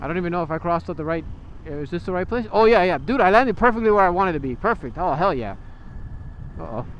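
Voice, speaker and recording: Talking at a very fast pace with lively intonation, a man with a high pitch speaks in an American accent. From Miami, Florida. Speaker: motovlogger. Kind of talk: casual vlog narration while riding. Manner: halting, stuttering.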